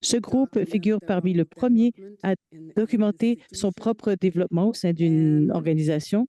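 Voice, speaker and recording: Her voice has a dark, mellow tone at medium pitch, with ordinary pitch variation and very even loudness. The woman keeps a moderate pace, recorded dry and close with no echo. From Quebec (Sherbrooke). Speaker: patient partner and research coordinator. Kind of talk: conference keynote talk. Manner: hesitant, with filler sounds.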